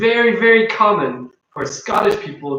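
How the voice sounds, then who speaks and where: A man speaks at a fairly slow pace. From Ireland, countryside near Dublin. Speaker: English teacher. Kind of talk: casual chat. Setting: live stream.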